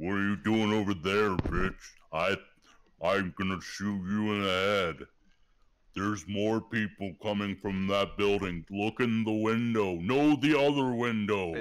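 A man's put-on character voice, fairly low in pitch, at a fairly slow pace with ordinary pitch variation. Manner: threatening, gruff.

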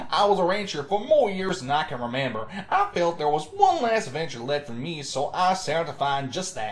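A man puts on a character voice pitched high. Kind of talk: folksy, rural. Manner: friendly, welcoming.

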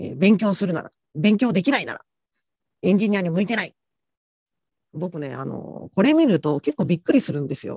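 A man talks at a high pitch and a fairly quick pace, with lively intonation and big swings in loudness. He leaves long, frequent pauses, and the dry recording has a quiet background and no echo. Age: middle-aged. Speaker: technical author and conference speaker; conference speaker. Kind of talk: lecture. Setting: online conference session. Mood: relaxed, light-hearted. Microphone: video call.

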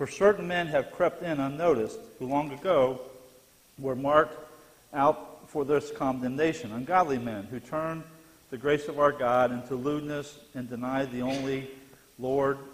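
Speaking at a moderate pace with ordinary pitch variation, a man leaves long, frequent pauses. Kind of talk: Bible class lecture and scripture reading. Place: church.

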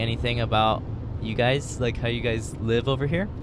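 Noticeable background noise sits under a dry sound with no echo as the speaker moves at a fairly quick pace with ordinary pitch variation. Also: woman. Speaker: podcast co-host. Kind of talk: casual chat. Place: car. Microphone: handheld.

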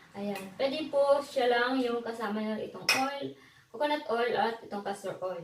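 A woman with a normal speaking voice talks at a fairly slow pace. Her fairly high pitch shows ordinary variation. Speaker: beauty vlogger. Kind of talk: tutorial. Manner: casual, chatty with fillers.

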